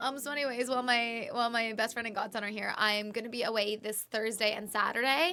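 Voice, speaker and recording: Noticeable background noise sits behind the recording. A woman with a fairly high pitch talks at a very fast pace with fairly even intonation. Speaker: streamer. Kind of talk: casual chat. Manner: lower energy.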